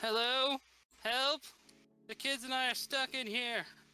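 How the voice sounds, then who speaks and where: A put-on character voice speaks at a fairly slow pace, pitched high with a flat, monotone delivery. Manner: pleading, distressed.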